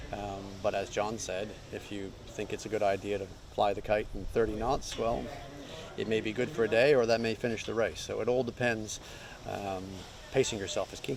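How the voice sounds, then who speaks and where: With an American accent, a man talks in a plain, everyday voice at a fairly low pitch and a moderate pace, his intonation fairly even. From New Zealand, raised elsewhere. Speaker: yacht racing co-skipper. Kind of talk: interview.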